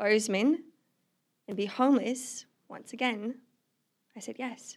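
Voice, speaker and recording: A woman with a slight Australian accent speaks at a high pitch and a moderate pace, keeping a fairly even intonation. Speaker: non-profit ministry worker. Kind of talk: testimony.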